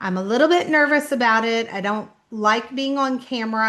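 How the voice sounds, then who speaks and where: Over a quiet background, a woman with a slight southern Kentucky accent speaks at a moderate pace, her pitch fairly high with ordinary pitch variation. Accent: slight southern Kentucky-style twang. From Indianapolis, Indiana, US Midwest. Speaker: author. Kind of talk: casual vlog talk.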